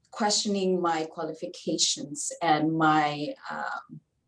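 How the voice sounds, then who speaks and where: A woman speaks very slowly with a Filipino accent. Her intonation is lively. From Philippines. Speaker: community advocate and former political candidate. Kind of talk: panel discussion. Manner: halting.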